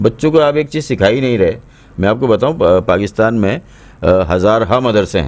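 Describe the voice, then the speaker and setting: At a moderate pace, a man with a normal speaking voice talks at a medium pitch with lively intonation. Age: 60s. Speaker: drama and children's story writer. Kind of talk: interview.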